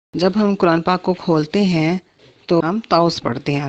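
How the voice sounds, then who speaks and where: A woman with a normal speaking voice, fairly low in pitch. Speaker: Quran teacher. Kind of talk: Quran tafseer lecture. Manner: explanatory, teaching.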